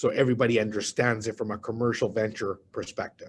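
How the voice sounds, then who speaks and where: This man has a medium pitch and a somewhat breathy voice. He speaks at a fairly quick pace. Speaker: real estate investment presenter. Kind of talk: webinar presentation. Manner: fast.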